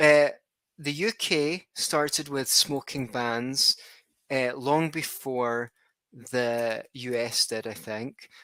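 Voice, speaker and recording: A man speaks at a very slow pace in a bright, sharp tone at a medium pitch. His pitch varies in an ordinary way on a very clean recording with a silent background. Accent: Scottish. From Scotland. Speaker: podcast host. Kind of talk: interview podcast. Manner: halting.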